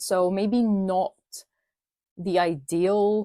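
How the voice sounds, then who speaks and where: The sound is dry and close, with no echo. Her pitch, a woman's, varies in an ordinary way. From Bulgaria. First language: Bulgarian. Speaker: crochet YouTuber. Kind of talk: tutorial. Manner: casual, chatty.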